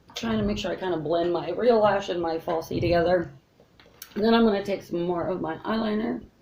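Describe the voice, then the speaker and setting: A woman with a fairly low voice talks at a fairly quick pace with ordinary pitch variation, over noticeable background noise. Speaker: beauty vlogger. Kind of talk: makeup tutorial. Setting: at home. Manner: casual, chatty.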